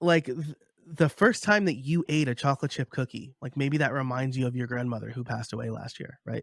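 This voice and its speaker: A man with an American accent talks at a fairly quick pace, his medium pitch showing ordinary variation. The sound is dry and close, with no echo. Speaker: podcaster and course creator. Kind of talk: interview.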